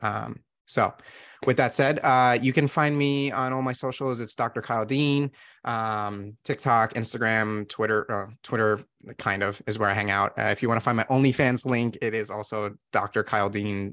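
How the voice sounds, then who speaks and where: A man with an ordinary speaking voice and a medium pitch talks at a moderate pace with fairly even intonation on a very clean recording with a silent background. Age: 30s. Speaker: sex empowerment coach. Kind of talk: casual chat.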